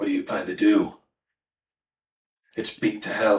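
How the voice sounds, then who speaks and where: A raspy, put-on character voice. It moves at a moderate pace. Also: man. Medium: actual play. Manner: gruff, blunt.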